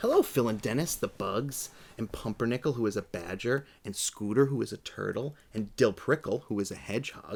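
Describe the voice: The clip is plain reading aloud. Pitch variation is ordinary.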